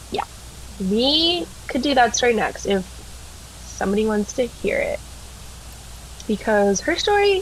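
Amid noticeable background noise, a woman speaks at a fairly slow pace with long, frequent pauses. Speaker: podcast co-host. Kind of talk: casual chat with story reading; reading aloud. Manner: flat, monotone storytelling.

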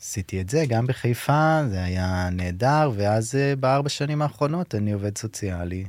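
A man with a medium-pitched voice and lively intonation barely pauses, heard on a very clean recording with a silent background. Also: moderate pace. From Israel, kibbutz in the south. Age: 30s. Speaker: social worker. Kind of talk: interview, personal testimony. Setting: studio. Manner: halting.

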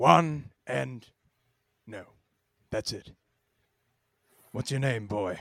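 A man puts on a gruff character voice at medium pitch. He goes very slowly, with long, frequent pauses. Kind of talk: deadpan comic drama. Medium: audio drama. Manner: gruff, curt, terse.

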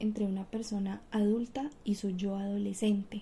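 The pace is fairly slow. The tone is dark and mellow, somewhat breathy. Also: woman. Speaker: university student. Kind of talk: oral presentation.

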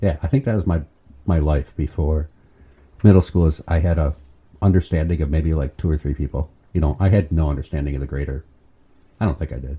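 In an American accent, a dark, mellow voice with vocal fry and ordinary pitch variation rushes at a very fast pace, broken by long, frequent pauses. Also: man, very deep, low pitch for a man. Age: 50s. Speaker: permanent deacon. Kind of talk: interview.

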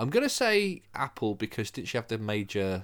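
A man talks in a normal speaking voice with fairly low pitch. His pace is moderate and his pitch variation ordinary. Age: younger than co-host. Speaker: podcast co-host. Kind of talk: casual chat.

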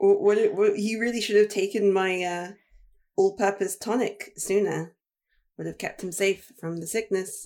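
A woman's medium-pitched voice, dark and mellow in tone, with fairly even intonation and a moderate pace. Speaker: tabletop game player. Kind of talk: tabletop roleplaying game session.

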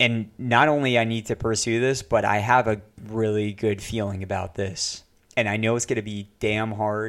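At a moderate pace, a man speaks in a flat monotone with fairly low pitch, in a very clean recording with a silent background. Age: 20s. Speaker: artist and podcast host. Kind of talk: solo monologue. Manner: casual, with frequent fillers.

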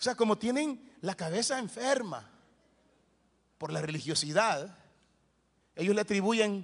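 Animated in tone, a man with a high-pitched voice talks at a moderate pace. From El Salvador, Soyapango. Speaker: pastor. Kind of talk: sermon.

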